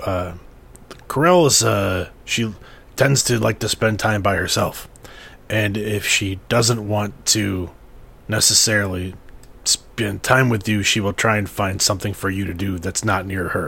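Putting on a character voice, a man speaks raspily at a fairly low pitch and moderate pace over clear background noise. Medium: actual play. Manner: hesitant, halting, full of fillers.

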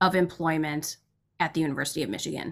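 Here is a woman with a fairly low pitch. Her tone is bright and sharp. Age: 30s. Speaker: PhD student and union organizer. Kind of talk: casual chat.

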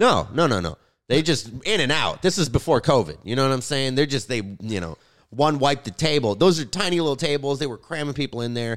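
Talking at a fairly quick pace with vocal fry, a man is heard on a very clean recording with a silent background. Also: fairly high pitch for a man. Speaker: podcast co-host, comedian. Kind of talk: casual banter.

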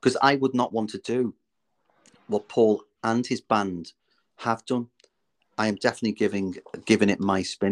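In a Liverpool accent, a man with a fairly low pitch and fairly even intonation speaks at a moderate pace with long, frequent pauses, on a very clean recording with a silent background and a dry, close sound with no echo. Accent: Scouse. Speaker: musical theatre performer. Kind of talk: interview.

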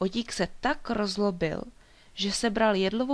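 Fairly even intonation marks the delivery. It is reading aloud in a natural voice.

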